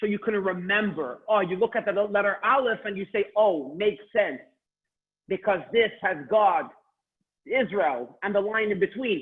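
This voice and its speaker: A man talks loudly at a high pitch and a moderate pace. His pitch variation is ordinary. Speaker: Hebrew teacher. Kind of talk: online class. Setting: video call. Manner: loud and clear.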